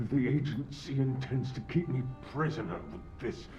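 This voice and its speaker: Putting on a character voice at medium pitch, a man speaks at a fairly slow pace against clear background noise. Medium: video game. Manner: measured, cold.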